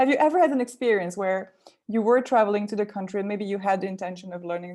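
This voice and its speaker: A woman speaks with a French accent. Her tone is dark and mellow. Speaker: language learning coach. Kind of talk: live webinar Q&A.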